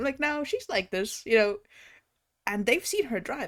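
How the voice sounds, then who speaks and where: A woman's animated tone at a moderate pace, with very wide pitch swings. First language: not English. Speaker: VTuber streamer. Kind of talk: casual chat.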